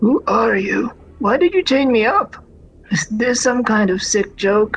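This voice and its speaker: Put-on character voice, delivered at a fairly slow pace. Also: female-sounding voice, fairly high pitch for a woman. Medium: game stream.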